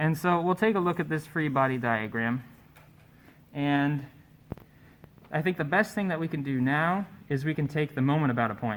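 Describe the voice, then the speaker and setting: Long, frequent pauses break up speech at a moderate pace with ordinary pitch variation. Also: man, fairly high pitch for a man. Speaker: tutor leading a statics study session. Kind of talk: tutorial. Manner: loud.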